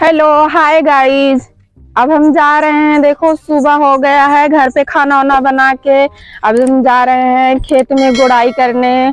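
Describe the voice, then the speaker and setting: Speaking at a very slow pace in a high pitch, a woman keeps a monotone, flat intonation and very even loudness, captured in a dry, close sound with no echo. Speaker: vlogger. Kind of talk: casual vlog talk.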